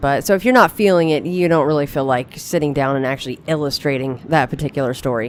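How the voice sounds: Speaking fast, a woman with a low pitch uses ordinary pitch variation.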